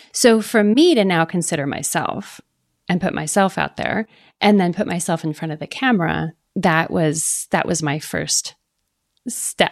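With a dry, close sound and no echo, a woman speaks at a fairly slow pace in a fairly low pitch with vocal fry. Her pitch varies in an ordinary way. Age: 50s. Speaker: photographer. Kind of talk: interview.

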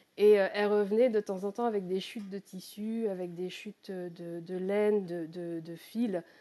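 A woman talks at medium pitch and a fairly slow pace with hardly any pauses, her tone dark and mellow. Her intonation stays fairly even while her loudness swings widely. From Normandy, France. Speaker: crypto-artist. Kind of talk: interview. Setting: live audio chat room.

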